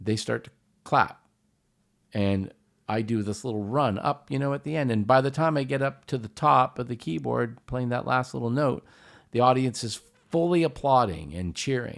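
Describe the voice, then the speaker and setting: Here a man with an unremarkable speaking voice and a medium pitch talks at a moderate pace with lively intonation, on a very clean recording with a silent background. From Canada, Hamilton, Ontario. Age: 50s. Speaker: musician, pianist. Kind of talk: casual chat.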